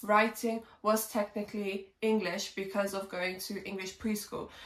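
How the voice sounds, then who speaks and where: Over noticeable background noise, a woman talks at a fairly slow pace with a medium pitch and fairly even intonation. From England. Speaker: English teacher. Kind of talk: language lesson for learners. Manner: slow, simple clear speech.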